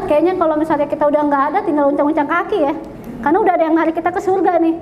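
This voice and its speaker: A woman speaks at a very fast pace with extremely high pitch and ordinary pitch variation. Her loudness stays very even over noticeable background noise. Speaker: teacher trainer presenting a workshop. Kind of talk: interactive workshop talk. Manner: casual, conversational with audience questions.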